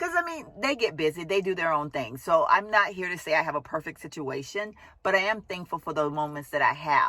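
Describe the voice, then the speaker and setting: Animated and lively in intonation, a woman talks at a fairly quick pace with hardly any pauses and a fairly low pitch. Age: 50s. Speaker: vlogger. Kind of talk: casual vlog monologue.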